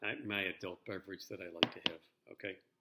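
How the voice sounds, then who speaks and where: The intonation is monotone and flat, and the tone is bright and sharp. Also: man. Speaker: teacher. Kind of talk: lecture. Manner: casual, halting.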